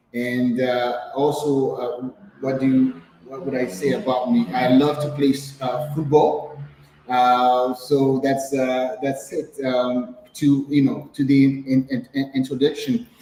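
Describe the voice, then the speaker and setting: Over noticeable background noise, a man talks at a very slow pace in a medium pitch with fairly even intonation. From Haiti. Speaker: entrepreneur. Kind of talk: interview. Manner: halting, many fillers and repetitions.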